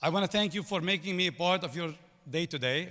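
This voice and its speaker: In a very clean recording with a silent background, a man with a Lebanese accent speaks in a high, bright, sharp voice with ordinary pitch variation. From Lebanon. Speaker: business executive, commencement speaker. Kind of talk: commencement speech. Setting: stage with audience.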